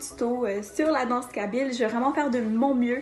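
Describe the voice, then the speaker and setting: Over noticeable background noise, a high-pitched woman talks at a fairly quick pace with fairly even intonation. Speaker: dancer teaching dance. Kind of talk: tutorial.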